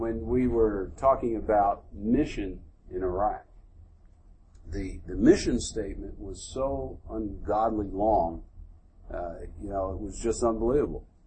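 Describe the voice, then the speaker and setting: Speaking at a fairly slow pace with long, frequent pauses, a man's loudness swings widely as audible room echo surrounds him. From US Northeast, Philadelphia. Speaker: military general. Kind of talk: onstage interview before a live audience.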